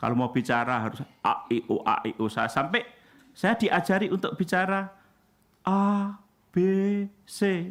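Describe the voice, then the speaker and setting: High for a man, this man's pitch makes very wide swings. He keeps a moderate pace. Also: very clean recording, silent background. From Indonesia, Central Java. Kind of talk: sermon.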